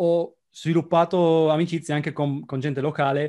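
Over a quiet background, a man with a fairly high pitch talks at a moderate pace. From Italy, Trieste; Italy. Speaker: software developer expat; interview guest. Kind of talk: casual interview. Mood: relaxed, chatty. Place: home room. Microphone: video call.

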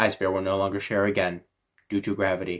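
A man in a put-on character voice, deadpan and monotone with flat intonation, at a very fast pace in a very clean recording with a silent background. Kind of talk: commentary. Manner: flat, deadpan. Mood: joking, playful.

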